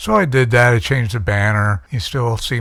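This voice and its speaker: A somewhat breathy male voice at a medium pitch. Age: 60s. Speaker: YouTuber. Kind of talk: casual vlog monologue. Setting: at home. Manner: halting, many fillers.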